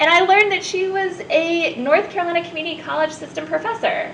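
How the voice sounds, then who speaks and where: A woman speaks loudly at an extremely high pitch. Noticeable background noise runs underneath. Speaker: youth apprenticeship coordinator. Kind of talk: interview. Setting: live recording at a community college in Asheville. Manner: direct.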